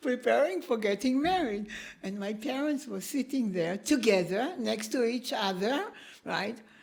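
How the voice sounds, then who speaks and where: A woman with an Israeli accent speaks with a fairly high pitch and lively intonation. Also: moderate pace. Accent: Israeli Hebrew accent in English. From Israel (kibbutz). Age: 70s. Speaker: professor. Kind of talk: interview conversation.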